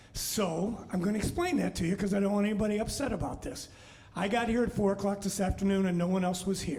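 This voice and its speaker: A high-pitched man at a very fast pace with fairly even intonation, plus noticeable background noise and audible room echo. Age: 60s. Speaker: musician and bandleader. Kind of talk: live show stage talk. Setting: brewery bar, live stream without audience. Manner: casual, halting with fillers.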